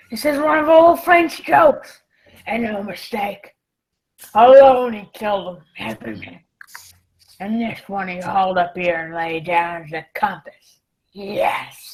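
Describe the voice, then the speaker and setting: In a put-on character voice that sounds female, raspy and at a medium pitch, the speaker leaves long, frequent pauses. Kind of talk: pirate dialect. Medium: audio drama. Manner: gruff, wheedling, commanding.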